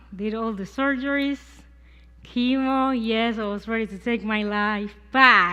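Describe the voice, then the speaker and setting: In a Puerto Rican accent, a woman speaks with a bright, sharp tone, fairly high pitch and ordinary pitch variation against a quiet background. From Puerto Rico. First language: Spanish. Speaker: cancer survivor sharing faith. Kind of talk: testimony. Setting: church service.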